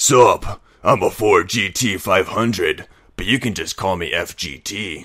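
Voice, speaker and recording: A man's gruff, raspy, put-on character voice at a medium pitch and a moderate pace. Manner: over the top, swaggering.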